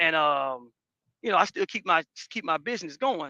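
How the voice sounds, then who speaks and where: Over a quiet background, a man's bright, sharp voice carries lively intonation in a dry, close sound with no echo. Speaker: former church member, photographer. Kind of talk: testimony. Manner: fast.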